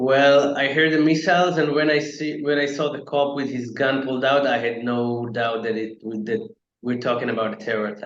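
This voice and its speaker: Hardly pausing, a man of medium pitch talks at a moderate pace with ordinary pitch variation. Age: 20s. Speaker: attack survivor, venture capital worker. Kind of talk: testimony interview. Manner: halting, many filler words.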